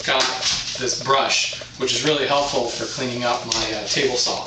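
A man talks at a moderate pace, and room echo can be heard.

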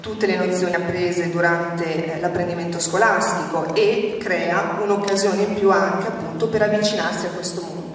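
Over light background noise and strong room echo, a woman speaks at a fairly quick pace with fairly even intonation. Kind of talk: public talk at event. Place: stage.

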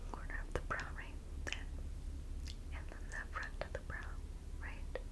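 Soft-spoken and whispering, the speaker goes at a fairly slow pace. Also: woman. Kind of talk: soft role-play talk to the viewer. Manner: soft semi-audible ASMR whisper.

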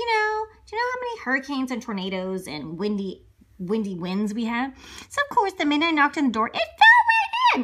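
A put-on character voice, high-pitched and playful, at a fairly quick pace. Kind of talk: children's book read-aloud. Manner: chatty, playful, exaggerated.

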